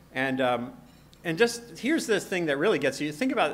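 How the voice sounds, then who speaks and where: Talking at a very fast pace, a man with an American accent uses lively intonation. There is audible room echo. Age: 50s. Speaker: science journalist and author. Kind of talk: conference lecture. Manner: halting with frequent repetitions.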